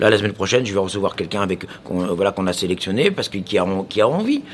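Noticeable background noise sits behind this man's voice. He talks very fast with very wide pitch swings. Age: 40s. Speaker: chef. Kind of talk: casual chat.

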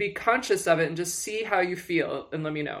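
Speaking at a fairly quick pace with an American accent, a woman uses an ordinary speaking voice at a fairly low pitch with ordinary pitch variation, in a very clean recording with a silent background. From Michigan. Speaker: publicist and executive coach. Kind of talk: casual chat.

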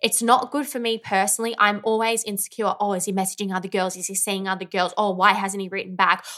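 At a very fast pace with hardly any pauses, a woman speaks at a medium pitch in a bright, sharp tone with fairly even intonation. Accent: Australian. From rural Victoria, Australia. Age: 30s. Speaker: podcast co-host. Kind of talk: casual chat.

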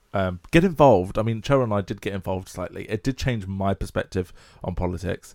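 Very fast and in an English accent, a man with fairly low pitch and ordinary pitch variation speaks in a dry, close sound with no echo against a silent background on a very clean recording. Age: 20s. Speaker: podcast co-host. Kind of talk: casual chat.

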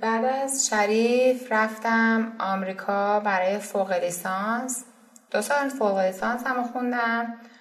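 In a room with audible echo, a woman speaks very slowly with a fairly high pitch and fairly even intonation. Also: very even loudness. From Iran, Isfahan. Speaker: startup co-founder. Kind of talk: interview.

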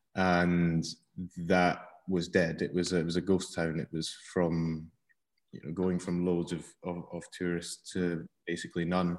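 With a Scottish accent, a man speaks fairly slowly at a very deep, low pitch in a monotone, flat intonation. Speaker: cheesemonger. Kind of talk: casual interview. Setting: video call.

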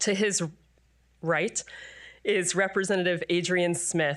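In a very clean recording with a silent background, a woman with a normal speaking voice talks in a fairly low pitch with fairly even intonation. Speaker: education policy director and moderator. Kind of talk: panel moderation. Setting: stage with audience.

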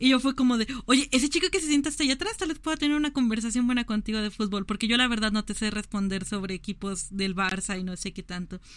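This woman talks at a very fast pace with hardly any pauses, her fairly high pitch carried by lively intonation. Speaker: podcast co-host. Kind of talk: casual chat.

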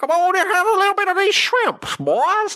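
This put-on character voice sits at an extremely high pitch and moves at a moderate pace. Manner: jovial, inviting.

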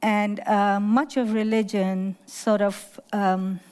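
A woman speaks with a slight Pakistani accent. Her intonation stays fairly even. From Lahore, Pakistan. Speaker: artist and educator. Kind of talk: panel talk with audience, interview. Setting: art fair talk with audience.

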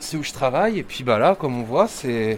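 At a moderate pace, the voice makes very wide pitch swings over noticeable background noise. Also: man. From Yvelines, France. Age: 40s. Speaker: telecoms worker and startup founder. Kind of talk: casual interview. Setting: at home.

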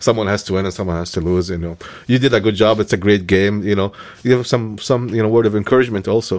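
Words pour out at a very fast pace, the intonation fairly even. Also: man, fairly low pitch for a man. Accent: Egyptian. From Egypt. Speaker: religious leader, co-host. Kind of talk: casual conversation.

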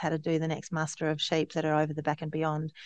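With an Australian accent, a woman speaks at a fairly low pitch, the sound dry and close with no echo and the background quiet. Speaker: regenerative farmer and nonprofit CEO. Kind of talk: casual interview. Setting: video call. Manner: energetic.

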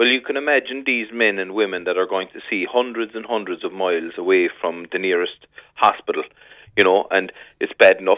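The speaker talks very fast in a Cork accent, with ordinary pitch variation. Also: man. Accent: Irish, Cork. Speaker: fishing industry representative. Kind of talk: radio interview.

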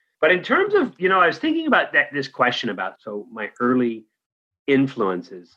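At a moderate pace, a man speaks with a Californian accent. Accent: General American (Californian). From US West Coast, San Francisco Bay Area. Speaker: organizational development consultant. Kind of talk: interview conversation.

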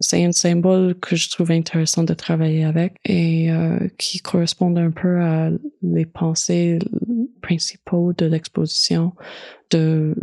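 Very slowly and with very even loudness, a woman speaks in a dark, mellow tone with monotone, flat intonation, the sound dry and close with no echo. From Manitoba, Canada. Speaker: visual artist. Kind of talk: interview. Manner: hesitant, many fillers.

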